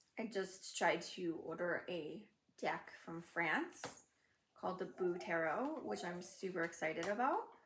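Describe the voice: A woman speaks at a fairly slow pace with lively intonation and a fairly bright tone. Audible room echo surrounds her voice. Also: fairly low pitch for a woman.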